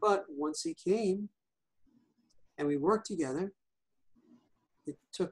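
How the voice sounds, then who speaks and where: With a New York accent, a man speaks at a high pitch, the sound dry and close with no echo. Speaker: hypnotherapist and EFT practitioner. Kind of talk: interview.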